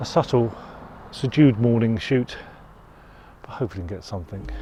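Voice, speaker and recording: Over noticeable background noise, a man talks at a fairly quick pace with a medium pitch. His pitch varies in an ordinary way, while his loudness swings a lot. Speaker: landscape photographer. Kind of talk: outdoor vlog narration. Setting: outdoors. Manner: halting, with many fillers.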